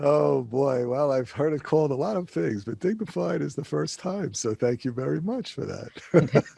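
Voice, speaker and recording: With a strong New York accent, a man speaks at a moderate pace, his fairly high pitch carried by lively intonation. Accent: thick New York. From New York City area (Queens, Long Island). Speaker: energy consultant. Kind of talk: podcast interview.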